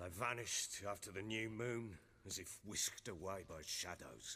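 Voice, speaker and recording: A man puts on a raspy character voice with a fairly low pitch. He speaks at a moderate pace with ordinary pitch variation. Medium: video game. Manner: gruff, blunt, commanding.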